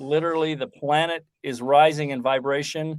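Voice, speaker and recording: A man with a fairly high pitch talks at a fairly slow pace in a normal speaking voice. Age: 60s. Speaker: former military intelligence officer and author. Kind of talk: podcast interview.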